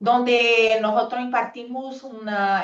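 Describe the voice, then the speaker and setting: A woman with a Portuguese accent, very slow pace and ordinary pitch variation. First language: Portuguese (speaking Spanish). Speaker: pharmacist and public health policy expert. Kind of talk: panel presentation. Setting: video call. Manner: halting.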